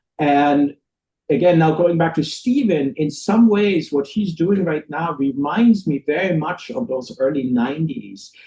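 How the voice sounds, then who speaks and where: With a German accent, a man speaks fairly slowly in a dark, mellow tone, his intonation lively. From Germany. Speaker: record label owner and musician. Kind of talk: interview chat. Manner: halting, many restarts.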